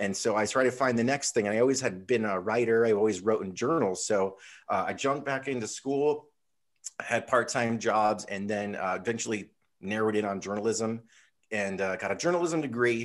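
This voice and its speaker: Against a quiet background, a man has a plain, everyday voice with medium pitch and ordinary pitch variation, speaking at a fairly quick pace. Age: 40s. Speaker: mountain bike YouTuber and former pro skateboarder. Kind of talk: casual interview chat. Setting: call.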